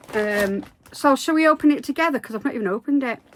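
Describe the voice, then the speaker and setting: There is noticeable background noise as a woman speaks at a high pitch with ordinary pitch variation. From Devon, England. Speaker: crochet youtuber. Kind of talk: casual vlog chat. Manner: chatty, animated.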